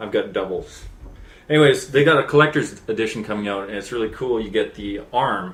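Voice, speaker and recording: With a Canadian accent, a man in a normal speaking voice talks at a moderate pace, his fairly low pitch showing ordinary variation. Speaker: gaming video co-host. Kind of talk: casual chat.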